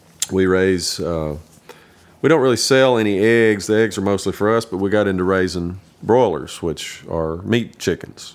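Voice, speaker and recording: A man with a fairly low pitch speaks at a moderate pace with an Appalachian accent and ordinary pitch variation. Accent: Southern US (Appalachian). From East Tennessee, US (Kingsport). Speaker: bluegrass bass player and farmer. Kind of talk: casual interview chat.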